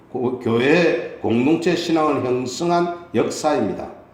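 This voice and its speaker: A man's fairly high voice in a Gyeongsang accent, at a very slow pace with ordinary pitch variation, over noticeable background noise. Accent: Gyeongsang Korean. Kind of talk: sermon, preaching.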